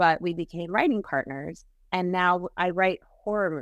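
A woman's voice at a medium pitch. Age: 40s. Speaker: writer and online creator, former actress. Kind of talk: casual interview. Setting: remote video call. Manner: halting, many restarts.

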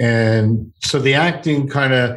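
A man's somewhat breathy voice sits at a medium pitch with fairly even intonation. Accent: Canadian. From Montreal, Quebec. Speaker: psychotherapist. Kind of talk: interview. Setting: video call.

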